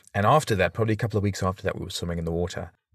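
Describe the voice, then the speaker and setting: The speaker has a South African accent. Pitch moves in an ordinary way. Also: man. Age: 30s. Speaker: podcaster and father. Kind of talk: casual interview. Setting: video call.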